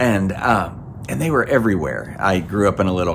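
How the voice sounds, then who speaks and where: A man with an American accent speaks at a fairly quick pace with ordinary pitch variation. Audible room echo and noticeable background noise can be heard. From US South, Georgia. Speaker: pastor. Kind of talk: recorded sermon. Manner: conversational, with fillers.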